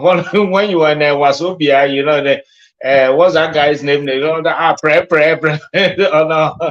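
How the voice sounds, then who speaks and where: At a moderate pace, a man speaks with a fairly high pitch. His intonation is fairly even. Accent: Nigerian. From Nigeria (Ekiti, Yoruba). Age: 60s. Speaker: caller. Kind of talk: casual chat. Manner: halting.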